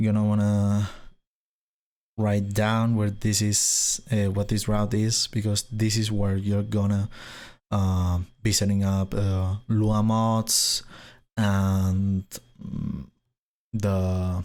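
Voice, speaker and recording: A man with a Spanish accent speaks very slowly in a fairly low pitch, with monotone, flat intonation and very even loudness. Long, frequent pauses break up his speech on a very clean recording with a silent background. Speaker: gaming tech youtuber. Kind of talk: tutorial. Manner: hesitant, many fillers.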